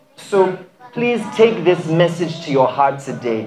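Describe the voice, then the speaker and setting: A fairly high-pitched man speaking at a fairly slow pace with lively intonation, music in the background. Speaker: preacher, charity mission leader. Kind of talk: sermon-style encouraging message. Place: church. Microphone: handheld.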